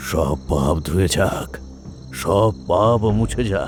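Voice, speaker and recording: A very slow, shaky put-on character voice from a man, very deep and low in pitch, over clear background noise. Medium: audio drama. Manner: shaky, muttering.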